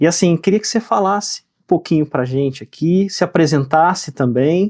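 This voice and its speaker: At a moderate pace, a man talks with a fairly high pitch and ordinary pitch variation, in a dry, close sound with no echo. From Rio Grande do Sul, Brazil. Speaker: podcast host. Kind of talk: podcast interview.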